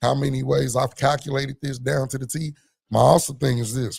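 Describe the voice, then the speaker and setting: A man's animated, somewhat breathy voice at medium pitch and a fairly quick pace. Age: adult parent. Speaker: podcast panelist. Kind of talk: casual group discussion.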